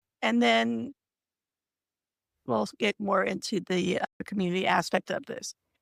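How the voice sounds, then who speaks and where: A woman's voice with vocal fry, very wide pitch swings and long, frequent pauses, in a dry, close sound with no echo. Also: medium pitch for a woman. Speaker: writer and livestream co-host. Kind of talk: casual livestream chat. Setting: online livestream.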